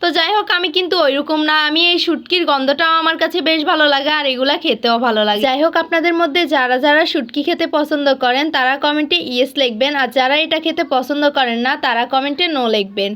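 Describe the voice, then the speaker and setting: A woman's high-pitched voice with ordinary pitch variation and very even loudness, set against noticeable background noise. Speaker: vlogger. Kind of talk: voice-over narration.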